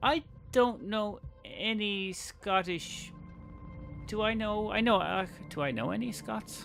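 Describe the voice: Over music in the background, a man with an Irish accent talks at a very slow pace with long, frequent pauses, his high pitch showing ordinary variation. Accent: soft, mild Irish.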